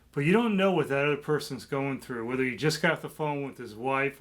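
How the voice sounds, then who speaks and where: The speaker has a plain, everyday voice. Pitch rises and falls in an ordinary way. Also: man. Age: 60s. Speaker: ethics expert. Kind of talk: casual chat.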